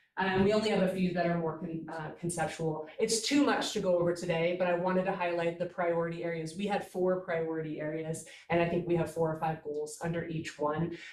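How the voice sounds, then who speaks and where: Amid noticeable background noise and audible room echo, a woman speaks at a fairly quick pace with hardly any pauses, her pitch fairly low and her intonation fairly even. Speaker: staff member presenting a work group report. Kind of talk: meeting presentation. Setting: hybrid meeting, in person and on Zoom.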